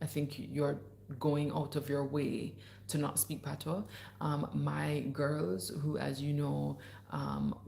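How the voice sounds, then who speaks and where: Speaking at a very slow pace with very even loudness, a woman's voice carries audible room echo. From Jamaica. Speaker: podcast host and livestreamer. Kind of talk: casual livestream chat reading viewer comments. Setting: livestream. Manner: animated, chatty.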